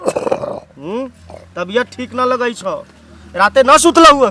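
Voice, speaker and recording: A man talks with big swings in loudness. Noticeable background noise sits behind him. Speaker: news reporter. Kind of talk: field news report to camera.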